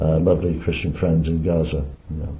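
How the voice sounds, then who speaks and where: Against audible room echo, a man with an English accent speaks in a very deep, low pitch with monotone, flat intonation. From England. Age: 80s. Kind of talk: interview. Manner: halting, many repetitions.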